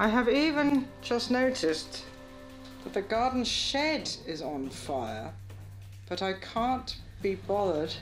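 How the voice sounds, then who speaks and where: Against faint music in the background, a woman speaks at a very slow pace with very wide pitch swings and long, frequent pauses. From UK. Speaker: comedian, poet. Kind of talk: reading a letter aloud. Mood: deadpan, listless, weary. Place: home room.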